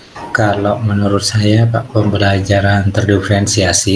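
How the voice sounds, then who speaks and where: This man's fairly low voice keeps a moderate pace through noticeable background noise. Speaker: primary school teacher (coachee). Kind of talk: role-play coaching conversation.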